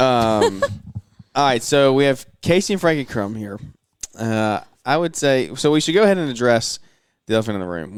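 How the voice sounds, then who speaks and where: Speaking in a Southern US accent, a man uses a medium pitch and lively intonation. He leaves long, frequent pauses. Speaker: podcast host. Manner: fast talker.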